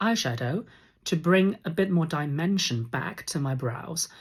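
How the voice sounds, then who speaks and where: This soft-spoken voice comes through on a very clean recording with a silent background. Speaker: makeup reviewer. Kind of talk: makeup review talk to camera.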